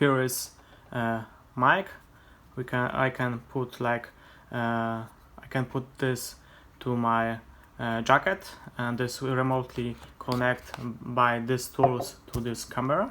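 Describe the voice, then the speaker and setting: A Polish accent at a very slow pace, with long, frequent pauses. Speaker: vlogger. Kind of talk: unboxing tutorial. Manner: halting, many hesitations.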